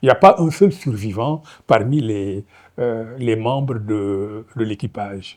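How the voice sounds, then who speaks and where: Against a quiet background, a man speaks at a very slow pace. His pitch varies in an ordinary way. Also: medium pitch for a man. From Senegal. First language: Wolof (speaking French). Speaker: novelist. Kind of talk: lecture. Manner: hesitant, many fillers.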